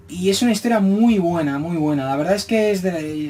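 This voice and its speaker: Music plays in the background as a man speaks. His pitch is high, with ordinary variation. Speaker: manga reviewer. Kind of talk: video review monologue. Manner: fast; stumbling over words.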